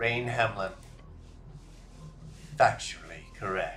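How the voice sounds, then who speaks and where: A man's put-on character voice at medium pitch, very slow in pace, over clear music in the background. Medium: game stream. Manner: formal, measured.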